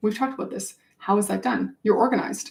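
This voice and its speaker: The voice is animated in tone, carries vocal fry, and moves at a very fast pace. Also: woman. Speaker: business coach. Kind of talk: webinar sales pitch.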